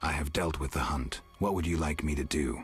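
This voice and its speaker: With faint music in the background, a man uses a put-on character voice, growling at a very deep, low pitch and a moderate pace. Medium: game stream. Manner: terse, dry.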